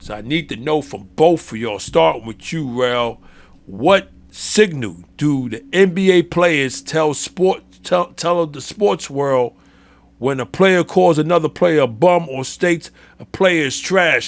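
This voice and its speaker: Big swings in loudness mark this voice with a New York accent, heard in a very clean recording with a silent background. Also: man, fairly high pitch for a man, lively intonation, fairly slow pace. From New York City. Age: 60s. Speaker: sports podcast host. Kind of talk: casual chat. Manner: halting.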